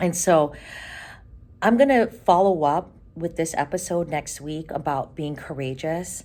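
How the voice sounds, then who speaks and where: A woman's dark, mellow voice, fairly low in pitch, with lively intonation at a fairly slow pace. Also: very clean recording, silent background. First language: Ilocano. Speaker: podcast host, career coach. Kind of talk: casual podcast monologue. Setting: recording on the road, before a conference. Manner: animated.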